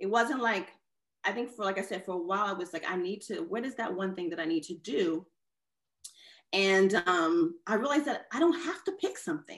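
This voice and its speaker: In a normal speaking voice, a woman speaks at medium pitch and moderate pace with lively intonation. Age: 40s. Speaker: artist and designer. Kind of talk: casual interview. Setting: video call.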